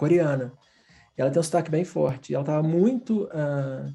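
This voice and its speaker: A man with a Brazilian accent and ordinary pitch variation, music in the background. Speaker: design professor. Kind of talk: casual chat. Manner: animated.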